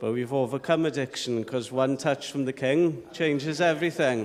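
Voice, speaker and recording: A man with a South Welsh accent. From South Wales (Llanelli). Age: 40s. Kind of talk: testimony.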